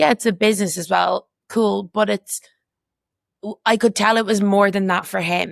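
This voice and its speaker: Speaking at a moderate pace with an Irish accent, the voice has fairly even intonation and long, frequent pauses, in a dry, close sound with no echo. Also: woman, medium pitch for a woman. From Ireland. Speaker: community walking group co-founder. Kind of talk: casual chat.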